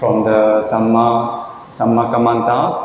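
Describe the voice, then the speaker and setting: A man with a Korean accent at medium pitch and a very slow pace, with audible room echo and noticeable background noise. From South Korea. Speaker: Buddhist monk. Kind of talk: dharma talk. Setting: monastery. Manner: halting.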